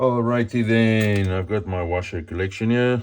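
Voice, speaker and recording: With a non-native accent, the speaker moves along at a fairly slow pace. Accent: non-native English, says it sounds weird. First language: not English. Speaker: motorcycle DIY youtuber. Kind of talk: hands-on repair tutorial. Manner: casual, thinking aloud.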